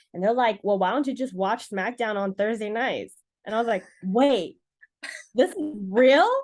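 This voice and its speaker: A woman with a Californian accent. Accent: Californian American. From Los Angeles, US. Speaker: professional wrestler. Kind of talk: interview.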